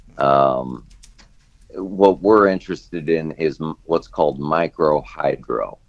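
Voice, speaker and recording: A man with an American accent talks at a very slow pace and a very deep, low pitch. His pitch varies in an ordinary way, with noticeable background noise behind him. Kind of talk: radio interview answer.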